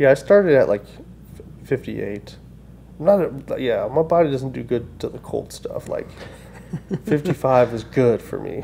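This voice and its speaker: A man at a moderate pace with long, frequent pauses, over light background noise. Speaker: podcast host. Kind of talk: casual podcast conversation. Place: office. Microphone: studio mic.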